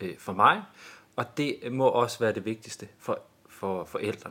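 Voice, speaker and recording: A man speaks in a plain, everyday voice at a fairly slow pace, with lively intonation. The recording is very clean, with a silent background. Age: 40s. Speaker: school principal. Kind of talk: interview. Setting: studio.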